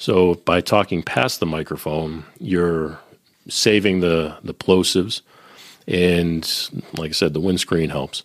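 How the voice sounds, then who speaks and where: A man with an American accent, very deep and low in pitch, very slow and fairly even, with a dry, close sound and no echo. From Boston. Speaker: recording engineer and podcaster. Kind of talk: casual chat.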